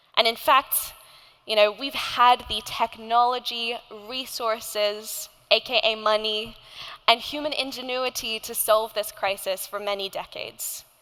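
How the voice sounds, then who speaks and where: In an Australian accent, a woman with a fairly high pitch and a bright, sharp tone speaks at a fairly slow pace, her intonation fairly even but her loudness swinging widely. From Indonesia. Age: 20s. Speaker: climate activist and nonprofit founder. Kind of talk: keynote speech.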